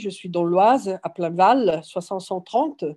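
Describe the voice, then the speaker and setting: A woman's intonation is lively as she talks at a fairly slow pace. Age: 60s. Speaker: farmer starting a business. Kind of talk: workshop introduction round. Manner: halting.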